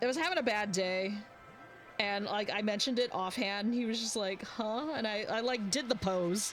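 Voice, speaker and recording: Speech at a moderate pace comes with noticeable background noise behind it. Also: woman. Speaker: streamer drawing live. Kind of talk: casual chat while drawing on stream. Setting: live stream. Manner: mumbling at times. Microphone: mic close, volume quiet.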